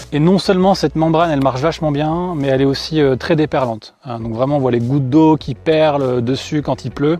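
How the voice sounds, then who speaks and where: Over music in the background, a man speaks at a fairly high pitch. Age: 30s. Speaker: customer product tester. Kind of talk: product review testimonial. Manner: casual, many hesitations.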